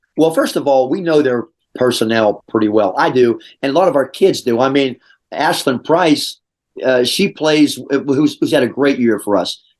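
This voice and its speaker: This man's voice sits fairly high, with ordinary pitch variation and a moderate pace. His loudness stays very even against a quiet background. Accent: American. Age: 60s. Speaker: high school basketball coach. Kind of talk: interview. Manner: halting, many restarts and fillers; animated.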